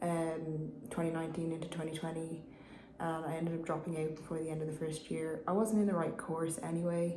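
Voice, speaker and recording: A woman speaks at a fairly low pitch in a monotone with flat intonation and a Dublin accent, with audible room echo and noticeable background noise. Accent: Dublin Irish. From Ireland, Dublin. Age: 20s. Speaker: vlogger. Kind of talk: personal vlog. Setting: private meeting room. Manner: hesitant, many fillers.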